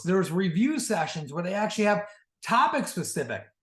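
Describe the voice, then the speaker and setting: A man's high voice with very wide pitch swings and audible room echo. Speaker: sales team leader and coach. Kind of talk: orientation training talk. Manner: fast.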